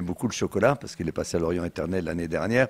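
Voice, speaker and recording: A man's very fast, lively speech, dry and close with no echo, on a very clean recording with a silent background. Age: 70s. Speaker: chocolatier. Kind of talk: interview.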